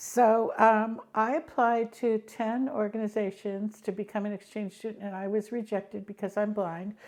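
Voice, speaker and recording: Speaking with hardly any pauses, a woman with an American accent holds a fairly high pitch in fairly even intonation. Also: moderate pace. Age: 60s. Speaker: blind tech expert and educator. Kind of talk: interview. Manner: hesitant with frequent ums.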